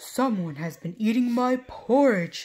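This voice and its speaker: A put-on character voice that sounds female. It is pitched fairly high for a woman and moves at a fairly slow pace. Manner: gruff, indignant.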